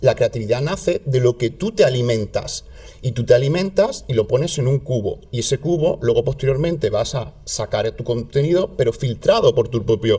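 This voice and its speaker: A man at a moderate pace, with hardly any pauses. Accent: southern Spanish. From southern Spain. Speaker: content creator. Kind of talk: casual chat.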